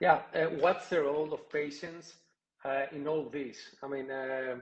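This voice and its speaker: With a non-native accent, a man speaks at a fairly slow pace and fairly high pitch, his intonation fairly even. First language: not English. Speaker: podcast host. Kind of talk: interview on a live podcast. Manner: halting, hesitant. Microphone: connection froze.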